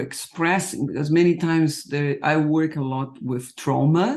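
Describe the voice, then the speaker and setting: With a non-native accent, a man with a fairly high pitch speaks at a fairly slow pace. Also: very clean recording, silent background. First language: not English. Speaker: podcast host, trauma practitioner. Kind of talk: interview conversation. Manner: halting, repeats words.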